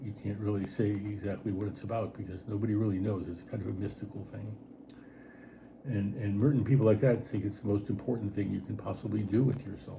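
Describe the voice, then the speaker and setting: A man with a fairly low pitch talks at a very fast pace, his intonation fairly even, with audible room echo around him. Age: 70s. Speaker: writer and artist. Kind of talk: casual chat. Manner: halting.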